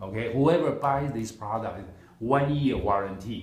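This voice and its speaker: Somewhat breathy, a man speaks at a fairly slow pace amid audible room echo. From Taiwan. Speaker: product seller. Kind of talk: sales pitch.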